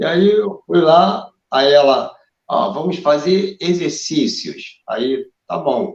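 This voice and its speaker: Speaking very slowly, a man with a high pitch uses lively intonation. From Brazil, Rio de Janeiro. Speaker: drummer and myasthenia patient. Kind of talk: casual interview chat. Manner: halting.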